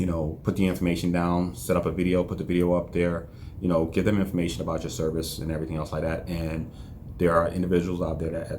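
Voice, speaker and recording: A man with a very deep, low voice and monotone, flat intonation, with audible room echo. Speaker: entrepreneur vlogger. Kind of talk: casual vlog monologue. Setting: office. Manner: reserved, low-energy.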